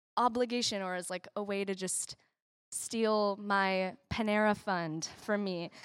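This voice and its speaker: This woman has an unremarkable speaking voice at a medium pitch. She talks at a fairly slow pace on a very clean recording with a silent background. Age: 20s. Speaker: church member. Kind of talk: talk on giving. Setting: church.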